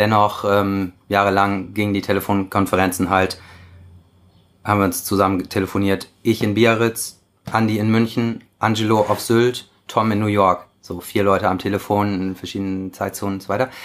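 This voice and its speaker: A man with a fairly low pitch speaks at a moderate pace in a monotone, flat intonation, captured in a very clean recording with a silent background. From Germany. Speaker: surf magazine editor. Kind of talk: interview. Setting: at his home.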